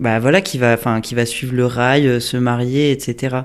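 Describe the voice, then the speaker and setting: Intonation stays fairly even while the speech moves at a fairly slow pace. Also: man. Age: 30s. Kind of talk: interview answer. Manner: casual, hesitant.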